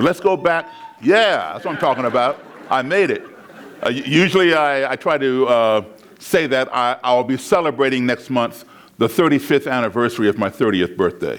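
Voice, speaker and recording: This man speaks with an American accent at a moderate pace and a medium pitch. His pitch swings very widely. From US, raised largely abroad (Africa, Europe) and Chicago. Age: 60s. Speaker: public speaker. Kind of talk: keynote talk. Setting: stage with audience.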